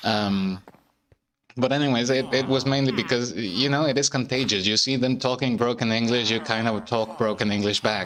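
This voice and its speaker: With a non-native accent, a man speaks at a medium pitch and moderate pace, using fairly even intonation and very even loudness. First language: not English. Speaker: gaming streamer. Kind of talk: casual gameplay commentary. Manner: halting, many fillers and repeated words.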